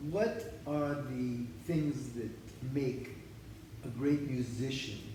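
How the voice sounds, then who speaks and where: Over noticeable background noise and audible room echo, a man speaks at a very slow pace. His medium pitch shows ordinary variation. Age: 70s. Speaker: interviewee discussing his father's cantorial music. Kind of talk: interview. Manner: halting, many restarts.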